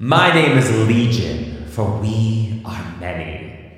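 Someone performs a put-on character voice with a strong echo around it. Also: man. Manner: demonic, stuttering.

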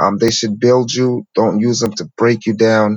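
A man's plain, everyday voice at a medium pitch, with fairly even intonation. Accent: American. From New York City. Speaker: spiritual teacher. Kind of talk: interview storytelling.

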